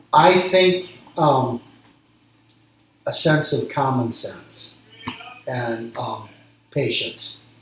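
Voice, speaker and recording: A man's fairly high voice with an American accent, very slow pace and lively intonation, plus audible room echo. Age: 60s. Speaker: small business owner. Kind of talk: interview. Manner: halting, frequent ums.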